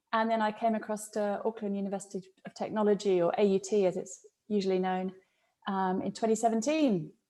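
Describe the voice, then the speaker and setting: A woman with a British accent speaks fairly quickly at a medium pitch. Her tone is dark and mellow, and her intonation stays fairly even. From UK. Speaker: professor of organizational psychology. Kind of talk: podcast interview.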